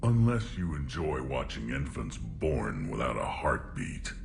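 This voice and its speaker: A man speaks fairly slowly in a put-on character voice, with loud background noise behind him. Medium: machinima. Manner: blunt, gruff.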